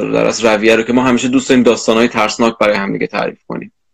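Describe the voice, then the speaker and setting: Using fairly even intonation, a man speaks at a medium pitch. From Iran. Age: 20s. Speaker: arachnologist. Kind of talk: casual interview.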